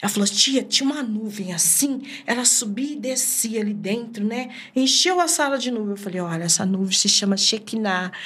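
A woman with a fairly high pitch talks at a moderate pace, and audible room echo surrounds her voice. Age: 50s. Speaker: evangelist. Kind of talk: testimony.

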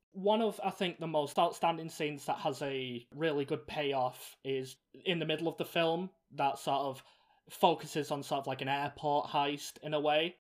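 This voice carries an English accent. It moves along at a moderate pace. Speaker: film review podcast host. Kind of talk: casual chat.

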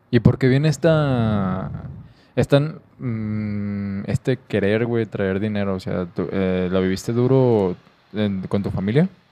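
Speaking at a very slow pace, a man has a dark, mellow tone and a fairly low pitch with ordinary pitch variation. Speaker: podcast host. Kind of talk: casual interview.

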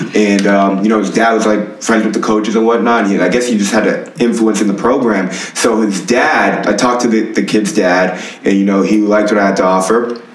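A man speaks at a fairly quick pace and fairly low pitch with ordinary pitch variation and very even loudness. Audible room echo and noticeable background noise fill the recording. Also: hardly any pauses. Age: 20s. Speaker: strength and conditioning coach, former football player. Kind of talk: casual interview.

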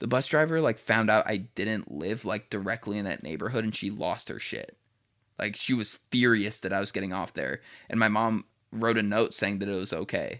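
A man's normal speaking voice, fairly low in pitch, with ordinary pitch variation, a moderate pace and a very clean recording against a silent background. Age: 20s. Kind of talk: casual chat.

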